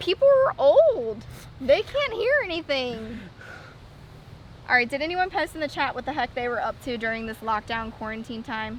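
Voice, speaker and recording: Over noticeable background noise, a woman speaks loudly at a moderate pace, her pitch high. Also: lively intonation. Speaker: dog channel co-host. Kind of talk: casual chat, live stream. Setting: outdoors, live stream over wi-fi. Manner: loud on the phone.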